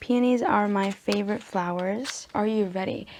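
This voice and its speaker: The speaker talks at a moderate pace with a non-native accent. Pitch varies in an ordinary way. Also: woman. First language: not English. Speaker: book vlogger. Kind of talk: storytelling; casual chat. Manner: animated.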